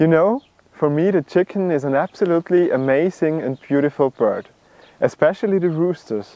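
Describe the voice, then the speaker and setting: With an Austrian accent, a man talks at a moderate pace in a high pitch with ordinary pitch variation. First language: German. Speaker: bird video creator. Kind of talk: video introduction.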